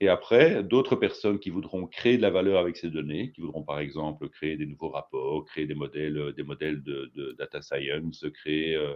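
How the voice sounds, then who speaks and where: There is ordinary pitch variation as a man speaks in a quiet background. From Belgium. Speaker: data consultant. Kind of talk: presentation talk. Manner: halting, many fillers and repetitions.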